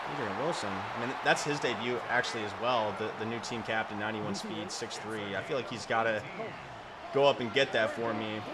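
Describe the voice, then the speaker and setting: A man's voice with fairly even intonation, audible room echo and noticeable background noise. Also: medium pitch for a man, fairly quick pace. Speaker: gaming video creator. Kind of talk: gameplay commentary. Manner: fast; stumbles over words often.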